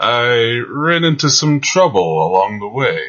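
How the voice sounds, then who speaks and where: A man growls through a put-on character voice at medium pitch and a fairly slow pace. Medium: actual play. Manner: smug, mocking, menacing.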